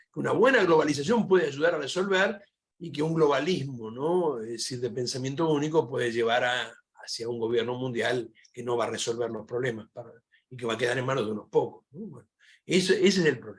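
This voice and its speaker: A man speaks at a medium pitch and a fairly quick pace. His intonation is lively, with big swings in loudness. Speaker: philosophy professor. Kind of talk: panel discussion Q&A. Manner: fast.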